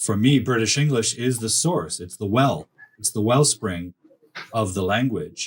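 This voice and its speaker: At a fairly slow pace, a man speaks with lively intonation. His voice is medium in pitch and somewhat breathy. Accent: Canadian. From Canada. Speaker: academic writing coach. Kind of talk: casual chat.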